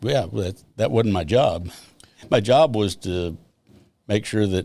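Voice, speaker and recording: In a fairly low pitch and a dark, mellow tone, a man with an American accent speaks very slowly, his pitch varying in an ordinary way. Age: 70s. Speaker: retired police officer. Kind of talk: podcast interview answer.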